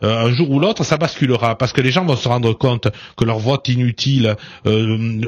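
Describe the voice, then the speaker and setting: This man speaks at a medium pitch. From southern France. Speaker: politician. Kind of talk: radio interview. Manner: loud, forceful; hesitant, many fillers.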